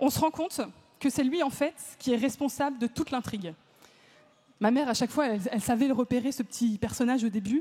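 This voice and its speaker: A woman speaks very fast in a high, dark, mellow voice with ordinary pitch variation. Her speech has long, frequent pauses. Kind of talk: talk to a live audience. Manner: casual, lively.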